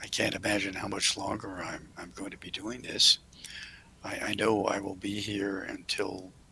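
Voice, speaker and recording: A man whispers at a moderate pace. Noticeable background noise runs underneath. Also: long, frequent pauses. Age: 80s+. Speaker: hotel owner and philanthropist. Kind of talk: interview Q&A. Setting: video call.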